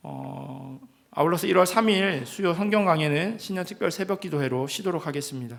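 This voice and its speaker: Moderately paced speech from a man with a high voice and ordinary pitch variation. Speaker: pastor. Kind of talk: church announcements. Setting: church. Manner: hesitant fillers.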